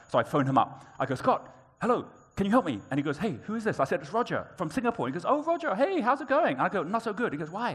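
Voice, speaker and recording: A man talks very fast in a high voice. His pitch swings very widely. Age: 50s. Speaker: entrepreneur and keynote speaker. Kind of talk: keynote talk. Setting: conference stage with audience. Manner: animated storytelling.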